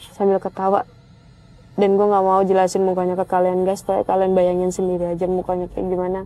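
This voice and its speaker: Her tone dark and mellow, a woman speaks at a very fast pace in a monotone, flat intonation. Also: medium pitch for a woman. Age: 20s. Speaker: storyteller. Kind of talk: personal story narration. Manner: casual, with fillers.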